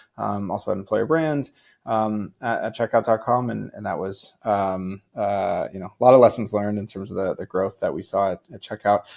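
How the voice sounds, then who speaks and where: Here is a man with a plain, everyday voice and an American accent, pitched fairly low and moving at a moderate pace with hardly any pauses. His pitch varies in an ordinary way, but his loudness swings widely. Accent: North American accent noticeable in Europe. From United States. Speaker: recruiting executive. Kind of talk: podcast interview.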